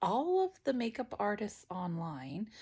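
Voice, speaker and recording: A woman's medium-pitched voice carries vocal fry and very wide pitch swings. The recording is very clean, with a silent background. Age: 40s. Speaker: lifestyle vlogger. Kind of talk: casual vlog talk. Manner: hesitant, many fillers.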